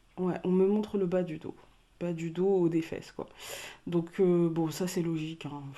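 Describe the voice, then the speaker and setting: Her voice fairly low and her intonation monotone and flat, a woman speaks at a fairly slow pace with long, frequent pauses. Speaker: tarot card reader. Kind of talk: card reading for viewers. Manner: calm, measured voice; speaking softly, not loud. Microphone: mic very loud in her ears, so she speaks quietly.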